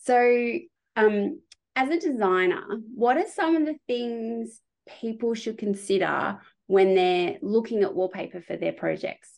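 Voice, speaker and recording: A woman speaks at a fairly slow pace in an Australian accent. Her pitch swings very widely. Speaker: podcast host and interior designer. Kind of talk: interview; scripted intro and outro.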